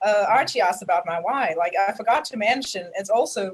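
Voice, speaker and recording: A woman with an American accent, medium pitch, moderate pace. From South Africa. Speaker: network marketing member. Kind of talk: testimony. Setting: video call livestream.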